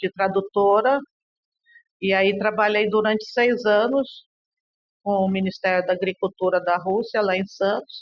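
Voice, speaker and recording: A woman talks fairly slowly at medium pitch with long, frequent pauses. Her loudness stays very even and her intonation fairly even. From Brazil, raised largely in Russia. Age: 60s. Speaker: interviewee, daughter of a political figure. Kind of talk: interview testimony. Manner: conversational, hesitant fillers.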